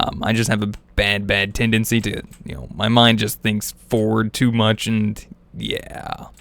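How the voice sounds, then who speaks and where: Mumbling at a fairly slow pace, a man speaks in a flat, monotone intonation with a fairly low pitch. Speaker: gaming youtuber. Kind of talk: let's play commentary. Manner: casual, rambling with fillers.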